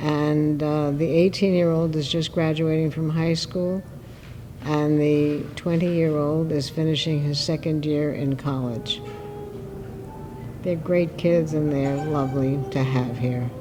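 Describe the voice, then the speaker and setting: A woman with a very deep, low pitch speaks at a fairly slow pace with fairly even intonation and very even loudness. Music plays behind her, and the room echo is audible. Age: 80s+. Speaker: interviewee, retiree. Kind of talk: interview.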